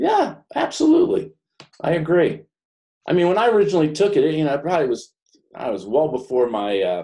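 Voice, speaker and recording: With an American accent, a man talks at a fairly quick pace, broken by long, frequent pauses. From New York / New Jersey. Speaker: business coach. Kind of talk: professional group discussion. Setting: conference call.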